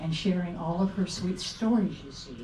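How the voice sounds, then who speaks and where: A woman talks at a fairly slow pace with ordinary pitch variation. Noticeable background noise and audible room echo surround her. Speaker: memorial speaker reading her own poem. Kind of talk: reading aloud. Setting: memorial gathering with audience and microphone. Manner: soft-spoken.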